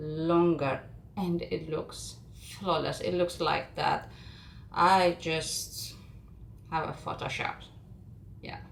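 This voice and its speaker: A woman with a non-native accent at a very slow pace, with audible room echo. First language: not English. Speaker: makeup content creator. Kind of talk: tutorial. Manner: calm, not hype; halting.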